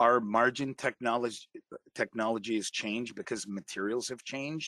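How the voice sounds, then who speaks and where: At a moderate pace, a man talks in a plain, everyday voice with medium pitch and ordinary pitch variation, the sound dry and close with no echo. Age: 50s. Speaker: dental technician. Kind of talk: interview.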